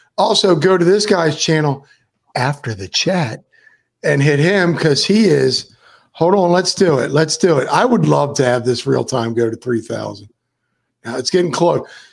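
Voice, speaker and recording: A man speaks with lively intonation and vocal fry. His pitch sits fairly high. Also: moderate pace. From Florida. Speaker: podcast host. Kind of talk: casual chat. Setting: video call livestream. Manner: rambling, hesitant.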